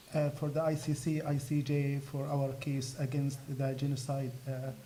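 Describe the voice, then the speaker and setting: Amid noticeable background noise and audible room echo, a man speaks in a fairly high, monotone, flat voice at a moderate pace. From Gaza, Palestine. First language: Arabic. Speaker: activist. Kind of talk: speech at a fundraiser event. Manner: halting.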